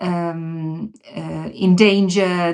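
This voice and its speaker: A woman with a Bosnian accent speaks in a fairly low pitch with flat, monotone intonation. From Bosnia and Herzegovina. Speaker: religious community representative. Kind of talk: podcast interview. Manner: halting, many fillers and restarts.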